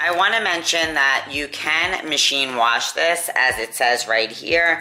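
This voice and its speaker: Amid noticeable background noise, a woman with a very deep, low pitch speaks at a fairly slow pace with lively intonation. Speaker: sewing YouTuber and nursing home dietitian. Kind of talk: tutorial.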